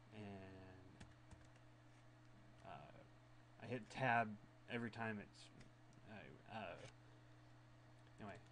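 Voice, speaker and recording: A man speaks at fairly low pitch and a very slow pace, with vocal fry and long, frequent pauses. His loudness swings widely, and the room echo is audible. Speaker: Linux software reviewer. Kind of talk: screencast tutorial. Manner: halting, stuttering.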